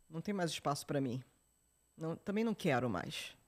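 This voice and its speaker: At a moderate pace, a woman speaks in an animated tone with lively intonation. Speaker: journalist and entrepreneur. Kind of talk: podcast interview. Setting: studio.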